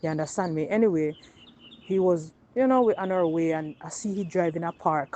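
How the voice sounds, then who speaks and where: Speaking at a fairly quick pace, a woman with a Jamaican accent uses a fairly low, dark and mellow voice with ordinary pitch variation. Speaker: woman telling her personal experience. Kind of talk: personal testimony, storytelling.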